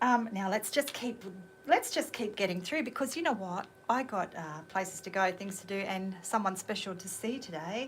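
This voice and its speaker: Her intonation is lively and her voice somewhat breathy. The woman keeps a moderate pace. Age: 50s. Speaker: radio host. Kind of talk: radio show chat. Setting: radio studio. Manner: animated.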